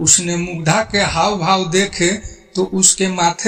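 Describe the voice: Fairly even intonation shapes the plain reading aloud here.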